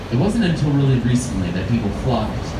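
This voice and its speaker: A man talks at a fairly quick pace. Loud background noise fills the recording. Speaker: river tour guide. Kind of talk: tour guide commentary. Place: boat.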